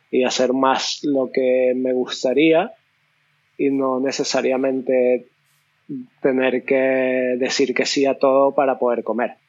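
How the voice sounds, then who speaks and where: A man at medium pitch, very slow pace, monotone, flat intonation and very even loudness. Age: 20s. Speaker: tattoo artist and illustrator. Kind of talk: casual interview.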